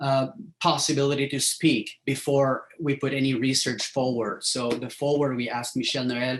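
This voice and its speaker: In a strong French accent, a man speaks at a medium pitch and moderate pace with fairly even intonation. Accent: thick French. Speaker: professor. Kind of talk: lecture. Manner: halting, many fillers.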